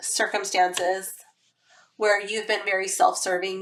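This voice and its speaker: A woman talks at a medium pitch. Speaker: tarot reader. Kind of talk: tarot card reading, casual talk to camera.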